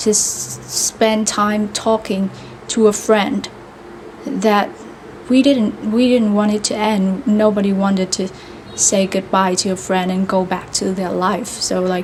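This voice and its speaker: A woman talks at a fairly slow pace with fairly even intonation. Noticeable background noise runs behind her. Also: medium pitch for a woman. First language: Vietnamese. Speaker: vlogger practicing English. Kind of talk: casual monologue. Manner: halting, many fillers.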